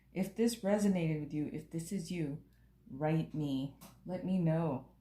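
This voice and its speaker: Her voice fairly low and somewhat breathy with a dark, mellow tone, a woman speaks at a fairly slow pace. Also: ordinary pitch variation. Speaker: tarot reader and author. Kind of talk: tarot reading monologue.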